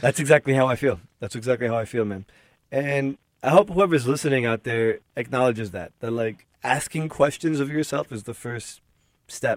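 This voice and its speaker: A man's unremarkable speaking voice, medium in pitch, at a moderate pace with ordinary pitch variation, big swings in loudness, and a dry, close sound with no echo. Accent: American. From US Northeast, Newark, New Jersey. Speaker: journalist and podcast host. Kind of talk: casual interview conversation.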